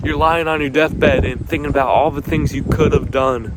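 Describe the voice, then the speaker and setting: Ordinary pitch variation amid audible room echo and noticeable background noise. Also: man. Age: young. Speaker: motivational video creator. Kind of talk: motivational talk. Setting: outdoors. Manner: halting, repeats and stutters.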